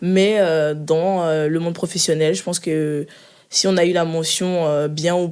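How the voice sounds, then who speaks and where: A woman's fairly low voice, monotone and flat, at a fairly slow pace in a very clean recording with a silent background. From Ivory Coast, moved to France at 11. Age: 20s. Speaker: finance analyst. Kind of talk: interview. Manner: hesitant, many fillers.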